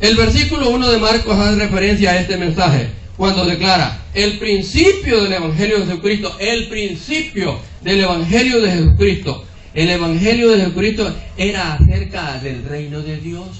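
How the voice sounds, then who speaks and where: A high-pitched man with lively intonation at a moderate pace, plus audible room echo and noticeable background noise. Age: 70s. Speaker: preacher. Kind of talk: sermon. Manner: repetitive, rhetorical questions to audience.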